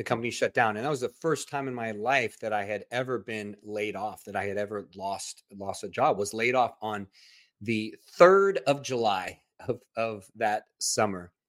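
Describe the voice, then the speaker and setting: With a normal speaking voice, a man talks at a moderate pace, his fairly low pitch showing ordinary variation. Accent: American. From Southern California. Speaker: podcast host. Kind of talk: interview conversation; scripted intro.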